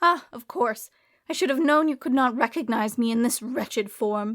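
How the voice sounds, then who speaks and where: Putting on a character voice, a woman speaks high-pitched and shrill at a moderate pace. The recording is very clean, with a silent background. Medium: read story. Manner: theatrical, self-important, melodramatic.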